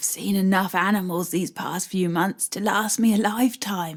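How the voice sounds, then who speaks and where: A woman uses a raspy, put-on character voice at a medium pitch. Her pace is moderate and her intonation fairly even. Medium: read story. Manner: wry, warm.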